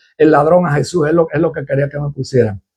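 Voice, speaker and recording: Moving at a fairly quick pace, a man's voice has a dark, mellow tone. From Costa Rica. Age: 60s. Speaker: pastor. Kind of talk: live-stream chat with viewers.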